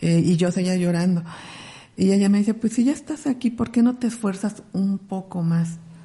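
A woman's medium-pitched, somewhat breathy voice, moderate in pace and ordinary in pitch variation. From Mexico, Ciudad Nezahualcóyotl (Mexico City area). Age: 40s. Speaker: ultra-distance trail runner. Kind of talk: interview.

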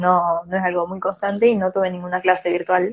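At a moderate pace, a woman speaks with a Rioplatense accent. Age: 20s. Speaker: veterinary student. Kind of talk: casual chat.

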